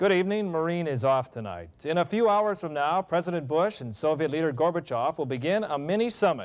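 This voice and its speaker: A plain, everyday voice from a man, fairly high in pitch, with lively intonation, a fairly quick pace and hardly any pauses. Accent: American. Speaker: television news anchor. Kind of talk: television news anchor delivery.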